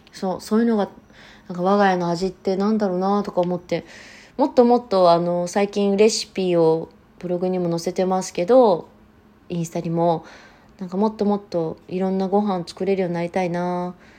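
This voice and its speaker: Her tone dark and mellow, a woman speaks at a fairly quick pace with fairly even intonation. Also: medium pitch for a woman. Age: 30s. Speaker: podcast host. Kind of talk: casual chat.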